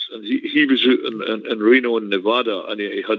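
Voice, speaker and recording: With a Scottish accent, a man is talking. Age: 70s. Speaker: football fan panelist. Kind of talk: casual chat.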